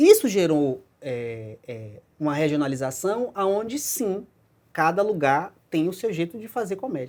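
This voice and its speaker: Recorded very cleanly against a silent background, a man with an ordinary speaking voice talks at a fairly slow pace with lively intonation. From Brazil, Bahia (Salvador). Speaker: film director and screenwriter. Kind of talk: talk show interview.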